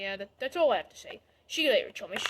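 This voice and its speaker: A woman uses a put-on character voice. She talks at a very fast pace. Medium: read story.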